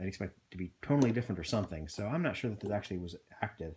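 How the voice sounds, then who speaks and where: A man speaks at a very fast pace in a fairly low pitch with a dark, mellow tone. His delivery is somewhat breathy. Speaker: video blogger reviewing gear. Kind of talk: tutorial. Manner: soft-spoken; halting, many fillers.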